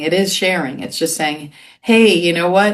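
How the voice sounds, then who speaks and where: A woman speaks at a moderate pace with medium pitch. She has an unremarkable speaking voice with ordinary pitch variation. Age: 60s. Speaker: talk show host. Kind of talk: casual interview chat.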